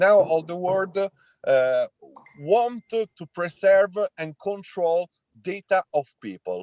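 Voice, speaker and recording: A man with an Italian accent speaks at a very slow pace in a high voice. The sound is dry and close, with no echo. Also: ordinary pitch variation. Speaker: tech entrepreneur. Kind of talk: panel discussion. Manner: halting, many fillers.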